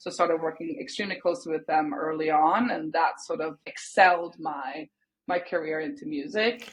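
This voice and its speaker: A woman speaks in a fairly low pitch with a Swedish accent. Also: lively intonation, moderate pace. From Sweden. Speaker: music industry executive. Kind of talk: podcast interview.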